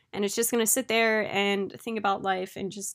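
A woman uses a normal speaking voice at a medium pitch. Her intonation is fairly even and her pace moderate. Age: late 20s. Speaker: podcast host. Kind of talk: casual solo monologue. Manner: chatty, laughing often.

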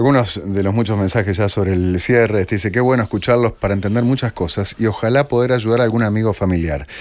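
A man with a fairly low pitch talks at a very fast pace with hardly any pauses. His loudness is very even and his pitch varies in an ordinary way. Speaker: radio host. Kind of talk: radio interview.

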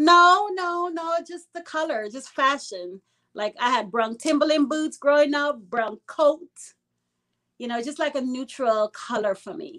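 Speaking at a fairly slow pace in a raised, projected voice, a woman with a high pitch and a bright, sharp tone uses lively intonation, her loudness swinging widely. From Brooklyn, New York (born in Guyana). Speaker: anti-gun-violence activist. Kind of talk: casual interview.

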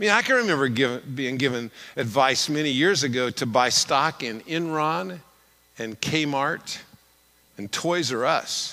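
His pitch swings very widely as the man talks at a fairly slow pace. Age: 60s. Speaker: guest preacher. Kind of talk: sermon. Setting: church service.

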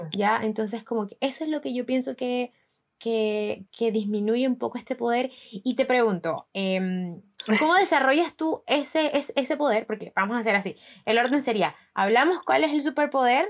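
This woman's voice sits high in pitch. She talks with lively intonation. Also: moderate pace. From Colombia, Barranquilla. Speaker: podcast host. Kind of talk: casual chat.

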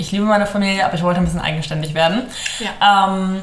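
A woman speaks at a very fast pace with ordinary pitch variation. Audible room echo and noticeable background noise surround her. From northern Germany, Hamburg area. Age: 20s. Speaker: law student. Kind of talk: casual interview chat.

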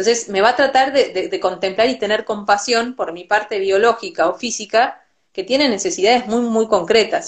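With an Argentine accent, a woman talks at a moderate pace, hardly pausing at all. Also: fairly high pitch for a woman. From Argentina. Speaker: Ayurveda teacher and physician. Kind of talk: interview. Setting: Instagram live video call.

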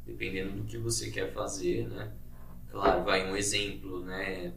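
Amid noticeable background noise and audible room echo, a man with a very deep, low pitch speaks at a fairly slow pace, his pitch swinging very widely. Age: 30s. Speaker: dentist. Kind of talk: casual chat.

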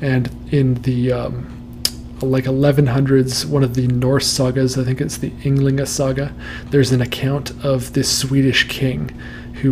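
Amid noticeable background noise, a man speaks at a moderate pace and medium pitch in a monotone, flat intonation. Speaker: podcast host. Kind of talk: casual interview chat and reading nightmares aloud. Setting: livestream broadcast.

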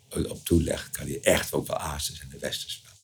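A man talks at a moderate speed. Clear background noise can be heard too. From Friesland, Leeuwarden. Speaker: local dialect expert. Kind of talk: interview. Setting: attic office of a museum. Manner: halting.

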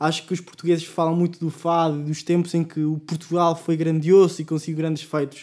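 Talking at a fairly quick pace with hardly any pauses, a man speaks in a high voice with monotone, flat intonation. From Mexico City. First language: Spanish (speaking Portuguese). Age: 20s. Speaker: postgraduate student. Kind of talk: casual chat.

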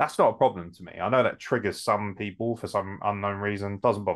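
A fairly quick delivery in a British accent. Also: man. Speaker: podcast host. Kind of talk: casual chat.

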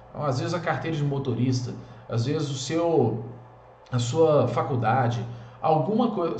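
Noticeable background noise fills the clip. A man talks amid audible room echo. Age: 30s. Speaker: men's coach, online content creator. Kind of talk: motivational monologue.

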